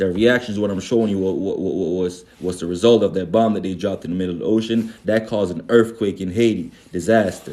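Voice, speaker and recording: Fairly low in pitch, a man speaks at a fairly quick pace. His pitch moves in an ordinary way. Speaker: spiritual livestream host. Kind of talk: livestream talk. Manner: animated.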